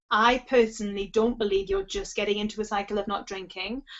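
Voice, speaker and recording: Fairly high in pitch, a woman's voice moves at a fairly quick pace with fairly even intonation. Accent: Geordie. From northern England, Newcastle area. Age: 30s. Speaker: sobriety coach. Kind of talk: webinar Q&A advice. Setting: online webinar. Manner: fast.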